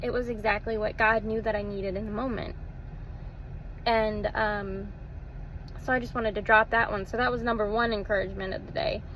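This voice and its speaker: A woman with an American accent speaks at a moderate pace in a fairly high pitch, her intonation monotone and flat, with audible room echo. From Texas. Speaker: social media vlogger. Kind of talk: casual personal testimony vlog. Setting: self-recorded video. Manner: hesitant, with fillers and repeated words.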